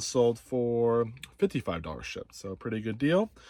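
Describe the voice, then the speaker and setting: This is a man speaking. His intonation is lively. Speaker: reseller. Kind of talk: casual haul video. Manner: fast.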